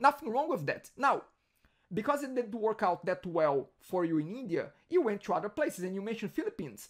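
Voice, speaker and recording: Speaking at a very fast pace, a high-pitched man shows a strong Brazilian accent and very wide pitch swings. The recording is very clean, with a silent background. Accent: heavy Brazilian Portuguese. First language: Portuguese. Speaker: podcast host. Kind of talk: interview.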